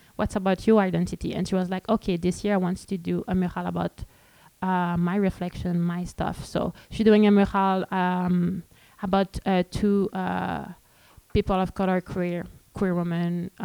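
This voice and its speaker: Speaking in a Quebec French accent, a woman uses a dark, mellow tone at a medium pitch and a moderate pace, her intonation monotone and flat. The sound is dry and close with no echo, in a very clean recording with a silent background. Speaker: street artist and community organizer. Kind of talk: panel presentation. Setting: stage with audience. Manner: halting.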